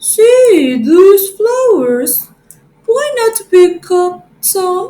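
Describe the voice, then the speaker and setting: A woman's put-on character voice, squeaky and extremely high, delivered at a very slow pace. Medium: read story. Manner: sly, coaxing.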